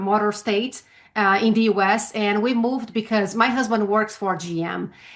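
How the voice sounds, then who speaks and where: At a moderate pace, a woman with a fairly high pitch speaks in a Brazilian Portuguese accent with fairly even intonation. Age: 50s. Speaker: sales trainer. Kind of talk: interview. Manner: halting, frequent fillers.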